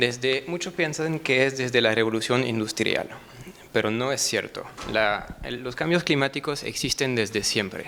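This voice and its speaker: This man talks at a fairly slow pace with a French accent. His pitch is medium. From France. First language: French (speaking Spanish). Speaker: researcher presenting at a seminar. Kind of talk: conference presentation. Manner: halting, many fillers and restarts.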